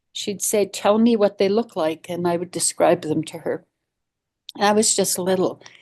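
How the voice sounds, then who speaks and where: This woman has a dark, mellow tone at medium pitch, speaking at a moderate pace with ordinary pitch variation. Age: 80s+. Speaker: elder. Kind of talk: storytelling talk. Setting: online forum. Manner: halting.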